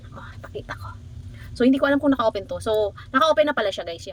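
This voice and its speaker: A woman with a high voice talks fairly quickly, her intonation lively. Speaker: tech unboxing vlogger. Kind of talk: casual unboxing vlog. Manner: animated, excitable; halting, self-interrupting.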